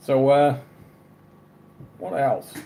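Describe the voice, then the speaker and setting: Man with an Australian accent and fairly high pitch. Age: 30s. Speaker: live streamer. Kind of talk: casual chat.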